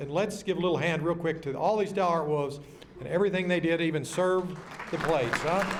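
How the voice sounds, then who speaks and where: In audible room echo, a man speaks with a Texas accent and ordinary pitch variation. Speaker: emcee at luncheon. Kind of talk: banquet speech. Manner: fast; animated.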